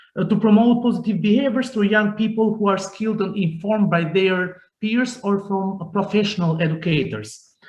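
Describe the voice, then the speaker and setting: Speaking at a fairly quick pace with an Albanian accent, the voice shows ordinary pitch variation. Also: man. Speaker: youth organization director. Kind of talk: panel talk. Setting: video call. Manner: halting.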